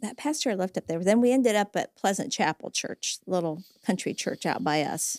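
A woman with an ordinary speaking voice talks at a moderate pace and medium pitch with lively intonation, in a dry, close sound with no echo on a very clean recording with a silent background. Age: 60s. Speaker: church member and retired caseworker. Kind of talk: casual chat. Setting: studio.

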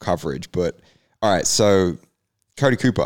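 Heard in a very clean recording with a silent background, a man with an Australian accent and a very deep, low pitch speaks at a moderate pace with lively intonation. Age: 30s. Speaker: motocross podcast host. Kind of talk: casual chat.

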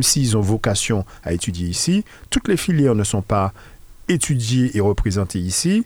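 A man with a plain, everyday voice and a fairly low pitch speaks at a moderate pace with lively intonation and very even loudness, on a very clean recording with a silent background. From Martinique. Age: 50s. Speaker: local politician. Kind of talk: radio interview.

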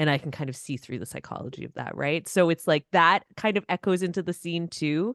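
The voice is an unremarkable speaking voice, fairly quick with hardly any pauses and ordinary pitch variation. The sound is dry and close with no echo, over a quiet background. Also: woman, fairly low pitch for a woman. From Canada. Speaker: rapper and singer. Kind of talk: casual chat.

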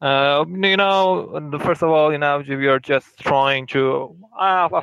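Speaking with a Persian accent, a man uses ordinary pitch variation. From Iran. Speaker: caller. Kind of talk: casual chat. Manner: halting.

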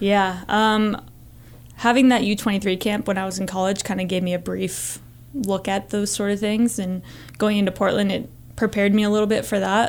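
With an American accent and an unremarkable speaking voice, a woman talks at a moderate pace in a medium pitch, her intonation fairly even. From Northern Virginia. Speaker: college soccer assistant coach, former pro player. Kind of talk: interview. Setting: studio.

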